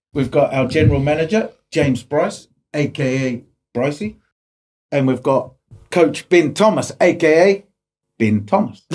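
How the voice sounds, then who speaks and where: A man with a New Zealand accent speaks at a moderate pace and a fairly high pitch with lively intonation. He leaves long, frequent pauses. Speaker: podcast host. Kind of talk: casual chat.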